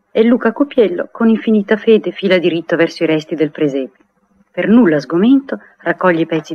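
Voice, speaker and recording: Light background noise accompanies a woman speaking at a fairly quick pace. Her pitch is fairly low, with very wide swings. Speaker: narrator of radio play. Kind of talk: 1959 radio drama, narrator reading stage directions aloud; narration of stage directions. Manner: measured, lyrical, warmly evocative storyteller pace. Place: studio. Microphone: old recording.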